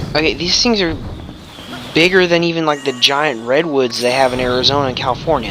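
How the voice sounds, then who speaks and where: A man talks at a fairly quick pace with lively intonation and fairly high pitch. Noticeable background noise runs underneath. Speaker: let's play gamer. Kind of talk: gameplay commentary. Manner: loud.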